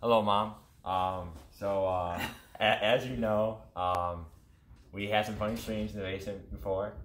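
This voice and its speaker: Audible room echo surrounds a man's fairly low voice. He keeps a moderate pace broken by long, frequent pauses. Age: young. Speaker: gaming YouTube streamer. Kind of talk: casual interview. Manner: halting; animated.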